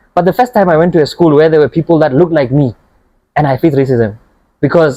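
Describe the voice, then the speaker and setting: A man with a Botswana accent speaks in a dark, mellow tone with ordinary pitch variation. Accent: Botswana (Setswana) English. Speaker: podcast host, youth NGO member. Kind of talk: podcast interview. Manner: conversational, with many fillers.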